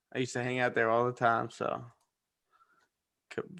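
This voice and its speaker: A man speaks with a New Jersey accent. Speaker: forex trading mentor. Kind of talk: live-stream trading session chat.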